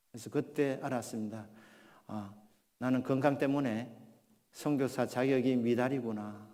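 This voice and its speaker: Dark, mellow tone from a man at a medium pitch, fairly slow and fairly even in intonation, with long, frequent pauses and audible room echo. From Gyeongsang region, South Korea. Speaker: pastor. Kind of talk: sermon.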